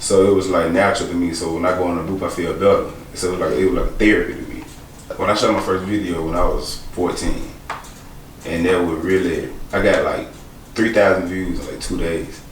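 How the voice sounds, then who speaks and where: At a fairly quick pace, the voice carries audible room echo amid noticeable background noise. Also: man. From Alabama, Birmingham. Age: 20s. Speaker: rapper and actor. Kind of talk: interview.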